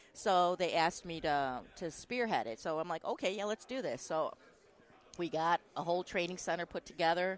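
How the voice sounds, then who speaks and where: At a moderate pace, a woman with a Chicago accent talks in a fairly low voice with ordinary pitch variation. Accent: Chicago accent, nasal. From Chicago, US Midwest. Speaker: dental lab trainer. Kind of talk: casual interview chat. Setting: live event recording room.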